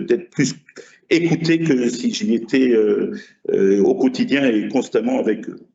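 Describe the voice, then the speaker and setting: Delivered at a very slow pace, the voice rises and falls through very wide swings in pitch. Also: man. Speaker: basketball coach. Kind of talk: speech at ceremony. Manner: halting with many hesitations.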